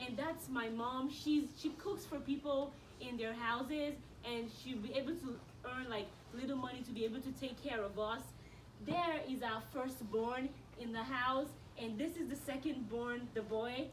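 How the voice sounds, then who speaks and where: A woman speaks at a high pitch. Noticeable background noise and audible room echo are present. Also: ordinary pitch variation, moderate pace. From Nigeria. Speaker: college student speaker. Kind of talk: school assembly talk. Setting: school assembly with audience.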